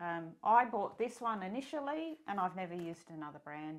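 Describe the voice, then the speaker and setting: She has an Australian accent. The woman's pace is moderate. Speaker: sewing pattern designer and illustrator. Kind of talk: tutorial. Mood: warm, relaxed.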